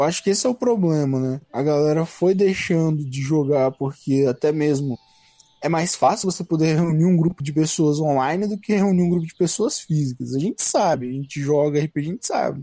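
At a moderate pace, a man uses a fairly high pitch and ordinary pitch variation, a normal speaking voice, with a dry, close sound with no echo. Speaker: podcast co-host. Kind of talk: casual chat.

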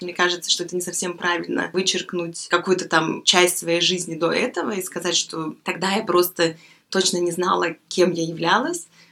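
The voice has monotone, flat intonation. Its pace is moderate. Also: woman, fairly low pitch for a woman. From Belarus. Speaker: guest. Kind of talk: casual chat.

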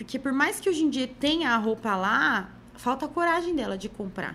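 A woman with a high-pitched, bright, sharp voice projects loudly at a moderate pace, her pitch swinging very widely. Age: 30s. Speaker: image consultant and body-positive content creator. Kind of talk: casual podcast interview.

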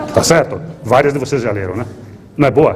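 A man talks with lively intonation. Audible room echo and noticeable background noise fill the recording. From Rio Grande do Sul, Brazil. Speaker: investor. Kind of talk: lecture. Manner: halting.

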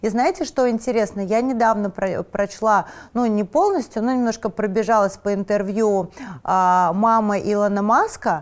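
A woman with a plain, everyday voice, a fairly high pitch, very even loudness and a moderate pace. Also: ordinary pitch variation. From Moscow, Russia. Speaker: fashion designer and stylist. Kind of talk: interview.

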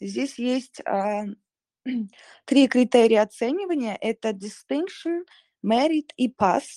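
A woman's high voice in a dark, mellow tone, very slow with long, frequent pauses, dry and close with no echo, over a quiet background. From Kazakhstan, Shymkent. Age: 20s. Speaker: scholarship student, performing artist. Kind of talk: online live interview.

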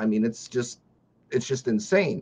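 A man speaks with a normal speaking voice at medium pitch. His intonation is lively. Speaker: viewer, live stream guest. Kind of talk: casual live stream chat. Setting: video call.

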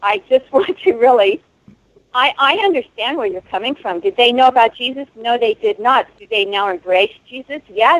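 A woman with a high pitch talks at a moderate pace, her voice swinging very widely up and down. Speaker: caller. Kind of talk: casual talk radio discussion. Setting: phone call.

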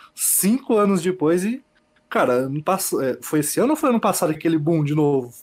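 With lively intonation, a man talks in a high voice. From Bela Vista do Paraíso, Paraná, Brazil. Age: 20s. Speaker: podcast guest, gamer. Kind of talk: casual chat.

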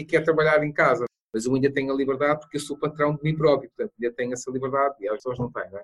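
This man talks at a very fast pace, his pitch fairly high and his intonation fairly even. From Madeira, Portugal. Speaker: bibliotherapist and mentor. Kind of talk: interview.

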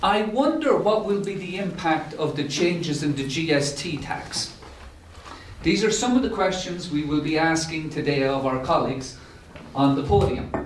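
There is noticeable background noise behind this man's voice. He speaks at a moderate pace with a fairly high pitch and ordinary pitch variation. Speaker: UN resident coordinator giving introduction. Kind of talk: welcome speech. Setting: live event at UN House.

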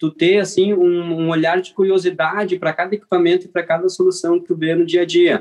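A man speaks at a fairly quick pace with hardly any pauses, his high voice flat and monotone. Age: 30s. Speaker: mechanical engineer and course creator. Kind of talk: casual interview.

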